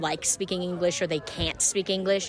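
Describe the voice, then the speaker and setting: A woman with a Boston accent speaks at a moderate pace while music plays in the background. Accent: Boston American. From Boston, US. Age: 20s. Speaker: interviewee, foreign resident. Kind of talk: street interview.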